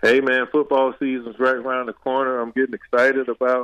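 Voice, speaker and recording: With an American accent, a man speaks at a medium pitch, the sound dry and close with no echo. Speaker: former football player. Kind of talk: casual interview. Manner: casual, many fillers.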